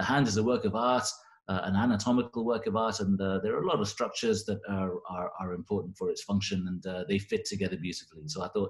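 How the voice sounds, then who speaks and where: A man talks at a very fast pace. His pitch is fairly low. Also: ordinary pitch variation. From Scotland, Glasgow, after early years in England. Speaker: plastic surgeon. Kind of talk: interview. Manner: halting, many fillers.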